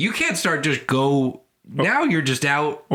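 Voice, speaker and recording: A man puts on a squeaky character voice with a fairly high pitch. He delivers it at a fairly slow pace. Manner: playful, cartoonish.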